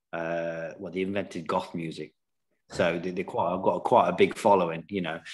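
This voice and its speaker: Speaking with an East Midlands accent, a man has a very deep, low pitch, a moderate pace, monotone, flat intonation and big swings in loudness. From England, Nottingham. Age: 40s. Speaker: professional snooker player. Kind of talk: casual chat.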